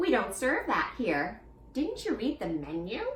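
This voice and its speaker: In a put-on character voice, a female-sounding speaker talks at a moderate pace and fairly high pitch over clear background noise. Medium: read story. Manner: calm, cheeky.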